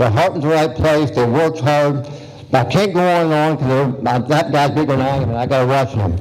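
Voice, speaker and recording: With noticeable background noise and audible room echo, a man with an American accent talks at a fairly quick pace and fairly high pitch, using ordinary pitch variation. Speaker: incumbent county supervisor candidate. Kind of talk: campaign speech at candidate forum. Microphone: poor audio recording.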